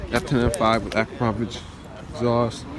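A man speaks at a medium pitch and a fairly slow pace, with audible room echo and noticeable background noise. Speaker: car YouTuber. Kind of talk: casual vlog commentary. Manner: casual, filler-heavy.

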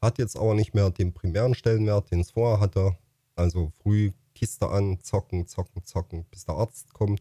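A man's fairly low, dark, mellow voice, somewhat breathy, at a moderate pace with fairly even intonation, dry with no echo against a quiet background. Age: 50s. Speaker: YouTuber and streamer; streamer, YouTuber. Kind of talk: casual vlog monologue. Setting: home facecam recording. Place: home room. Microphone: studio mic.

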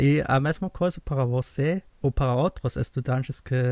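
Against a quiet background, a man with a German accent speaks at a moderate pace in a dry sound with no echo. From Germany, Saxony. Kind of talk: casual conversation. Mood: cheerful, laughing. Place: home room. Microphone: studio mic.

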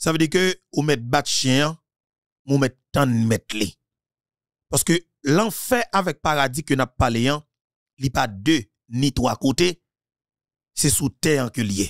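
A man with a Haitian accent, fairly high in pitch, speaking very slowly with long, frequent pauses, lively intonation and very even loudness, in a dry, close sound with no echo. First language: Haitian Creole (speaking French). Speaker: political commentator. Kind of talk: political monologue.

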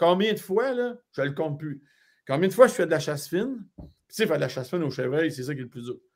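Pitched fairly high, a man talks at a very fast pace with lively intonation. The background is quiet. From Quebec, Laurentides; Quebec. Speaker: hunting guide. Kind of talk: live stream interview. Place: home room.

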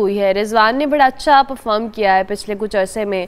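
With noticeable background noise around her, a woman talks with lively intonation. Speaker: morning show host. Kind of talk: talk show interview.

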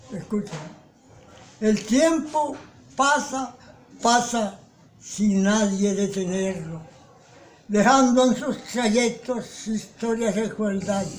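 At a very slow pace with long, frequent pauses, a man speaks at a high pitch with ordinary pitch variation. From Caribbean coast of Colombia. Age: 80s+. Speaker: poet. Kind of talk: poetry reading. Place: home room. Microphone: phone near.

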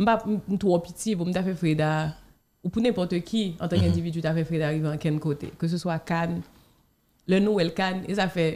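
A woman's dark, mellow tone at a fairly quick pace, in a very clean recording with a silent background. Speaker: film director and actress. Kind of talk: interview. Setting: studio.

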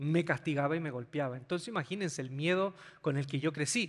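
A man against a quiet background. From Chile. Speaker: pastor. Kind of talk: sermon. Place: stage. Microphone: handheld.

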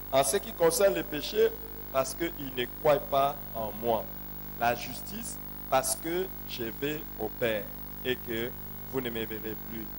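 A man speaks at a very slow pace with long, frequent pauses. Noticeable background noise runs under his voice. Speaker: pastor. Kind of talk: sermon. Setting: church. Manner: animated. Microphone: handheld.

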